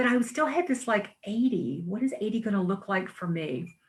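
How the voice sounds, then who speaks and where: At a moderate pace, a woman talks in a somewhat breathy voice with ordinary pitch variation. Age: 60s. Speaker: talk show host and magazine publisher. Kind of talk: casual chat. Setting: live online talk show.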